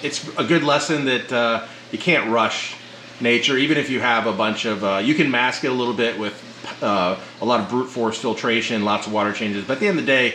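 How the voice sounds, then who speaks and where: A man talks at a fairly quick pace with ordinary pitch variation, amid light background noise and audible room echo. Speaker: aquarium hobbyist channel host. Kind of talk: casual tour commentary. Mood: pleased, upbeat. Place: home room.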